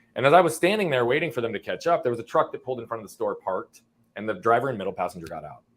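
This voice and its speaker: Talking at a very fast pace in an American accent, a man with a medium pitch and vocal fry uses an energetic tone, very wide pitch swings and big swings in loudness. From Arizona, US. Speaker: entrepreneur coach. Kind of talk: interview storytelling. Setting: live-streamed podcast.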